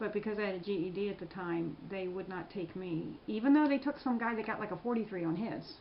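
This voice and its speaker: Over noticeable background noise, a woman with an American accent talks at a very fast pace with hardly any pauses, her medium-pitched voice full of lively intonation. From Prince George's County, Maryland. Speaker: military veteran. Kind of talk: interview answer.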